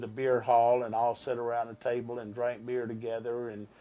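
Here a man is speaking. His pace is moderate. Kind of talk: interview answer. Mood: somber, emotional recollection. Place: studio. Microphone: lapel.

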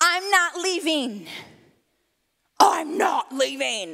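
A put-on character voice at an extremely high pitch. It moves at a very slow pace. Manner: scary, intimidating.

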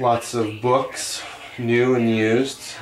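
Over light background noise, a man talks in a monotone, flat intonation. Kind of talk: interview answer, shop tour. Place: shop. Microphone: camera far.

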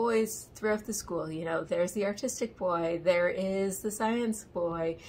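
With light background noise, the somewhat breathy voice moves at a moderate pace with ordinary pitch variation. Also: woman. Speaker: book reviewer. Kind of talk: casual vlog chat. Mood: amused, wry. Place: home room. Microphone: phone near.

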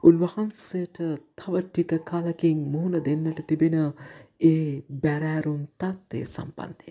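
Speaking very slowly, a woman with a Sri Lankan accent has a fairly low pitch and a dark, mellow tone. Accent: Sri Lankan Sinhala. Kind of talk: sermon.

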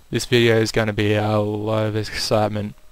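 A man's fairly low-pitched voice with music playing in the background. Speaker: gaming video creator. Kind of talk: gameplay commentary. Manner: more animated than usual.

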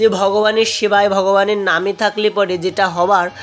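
Against noticeable background noise, a woman speaks at a medium pitch in a monotone, flat way. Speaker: devotional vlogger and scripture reciter. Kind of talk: casual vlog narration to viewers.

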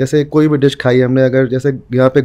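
A man talks at a medium pitch in a dark, mellow tone with fairly even intonation. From Bihar, India (Muzaffarpur); Bihar, India. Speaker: food storyteller, food tour founder; food storyteller. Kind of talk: casual interview. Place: studio. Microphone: studio mic.

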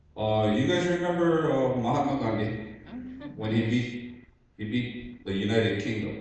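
The speaker's pitch varies in an ordinary way at a moderate pace. Strong room echo surrounds the voice. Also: man. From Hawaii, Oahu; Hawaii. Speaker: Hawaiian sovereignty activist. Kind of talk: public testimony. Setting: public hearing in school cafeteria. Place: hall.

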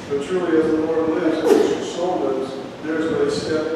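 A man's voice with strong room echo and noticeable background noise. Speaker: preacher. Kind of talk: sermon. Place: church.

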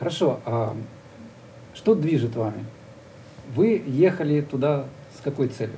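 A somewhat breathy man speaks at a fairly high pitch with a dark, mellow tone and lively intonation. His fairly slow delivery has long, frequent pauses over light background noise. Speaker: TV interviewer host. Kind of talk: studio interview. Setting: studio. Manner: formal, polite. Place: studio. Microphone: lapel.

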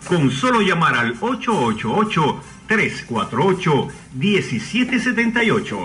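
Music plays in the background as the speaker moves at a very slow pace with very wide pitch swings. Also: man, high pitch for a man, very even loudness. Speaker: radio announcer. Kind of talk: radio show intro announcement.

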